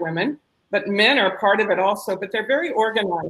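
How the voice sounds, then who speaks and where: A woman with a plain, everyday voice, an American accent, medium pitch, ordinary pitch variation and a fairly quick pace. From United States. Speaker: social entrepreneur. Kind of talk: panel discussion.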